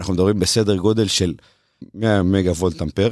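Very deep, low male voice, dry and close with no echo, very clean recording with a silent background. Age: 30s. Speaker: railway electrification project manager. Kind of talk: interview. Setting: studio.

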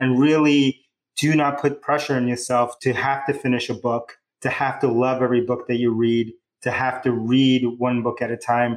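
A man with a New York accent speaks at a medium pitch and a moderate pace, his intonation monotone and flat and his loudness very even. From New York City, Bronx and Queens. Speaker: tech company founder and CEO. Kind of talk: interview, casual chat.

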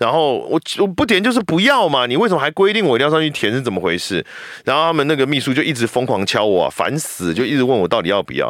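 A man speaks at a very fast pace in a Taiwanese accent. His pitch swings very widely, with vocal fry. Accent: Taiwanese Mandarin. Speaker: voice actor. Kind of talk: casual chat.

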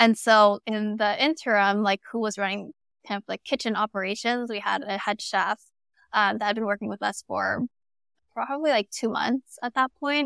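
Recorded very cleanly against a silent background, a woman speaks at a fairly high pitch and moderate pace. Her intonation is fairly even, and the sound is dry and close with no echo. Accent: American. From Southern California, Los Angeles area. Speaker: startup founder and CEO. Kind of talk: interview conversation. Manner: casual, many fillers like 'like' and 'um'.

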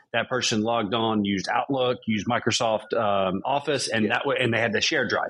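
With a normal speaking voice, a man talks at a fairly quick pace with hardly any pauses, very even loudness, and fairly even intonation. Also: medium pitch for a man. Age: 30s. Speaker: podcast host. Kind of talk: casual interview chat.

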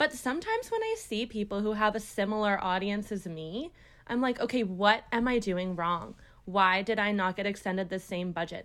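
A woman speaks at a moderate pace in an ordinary speaking voice, with a Canadian accent, medium pitch and ordinary pitch variation. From Ontario, Canada (Brampton, near Toronto). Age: 20s. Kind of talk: casual interview chat.

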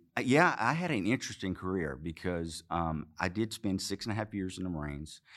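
On a very clean recording with a silent background, a man with a very deep, low voice and a slight Arkansas accent speaks fairly quickly. His intonation is lively, with hardly any pauses. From Arkansas, US South. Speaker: former Marine, businessman. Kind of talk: interview.

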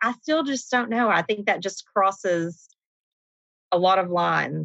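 A woman speaks with an East Tennessee accent at a fairly slow pace. Her tone is bright and sharp, and the sound is dry and close with no echo. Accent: Southern US, East Tennessee. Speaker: nurse manager.

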